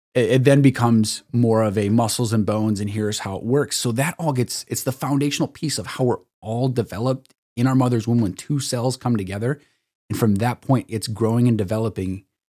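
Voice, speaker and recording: On a very clean recording with a silent background, a man with a Midwestern American accent speaks at a fairly quick pace in a dark, mellow tone with fairly even intonation, dry and close with no echo. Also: medium pitch for a man. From northern Illinois, Sauk Valley. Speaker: chiropractor. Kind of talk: casual chat.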